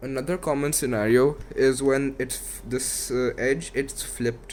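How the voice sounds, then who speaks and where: A man speaks at a moderate pace and a medium pitch. His intonation stays fairly even. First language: not English. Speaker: YouTuber teaching Rubik's cube. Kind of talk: tutorial.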